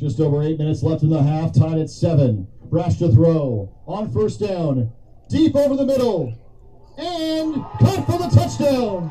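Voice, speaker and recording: An excited man talks at a fairly slow pace and a fairly high pitch, his voice making very wide pitch swings over noticeable background noise. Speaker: sports commentator. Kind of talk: live sports commentary, play-by-play. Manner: excited, rising on touchdowns and big plays.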